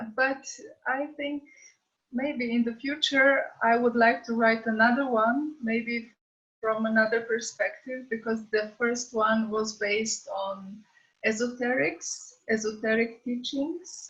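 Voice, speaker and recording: With a Slovenian accent, a woman speaks very slowly at a fairly high pitch and with fairly even intonation. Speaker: author. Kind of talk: casual chat. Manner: hesitant.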